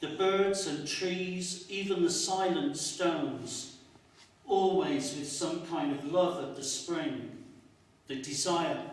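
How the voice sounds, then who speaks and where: Over noticeable background noise, a man speaks very slowly in a high pitch. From Northern England. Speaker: poet. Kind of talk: poetry reading.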